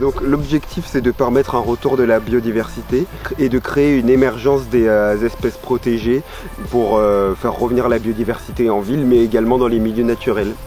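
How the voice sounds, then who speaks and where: Over music in the background, a man talks at a moderate pace at medium pitch, with fairly even intonation and very even loudness. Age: 20s. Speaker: ecology intern. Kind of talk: interview. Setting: outdoors at a nature site. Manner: halting, many filler sounds.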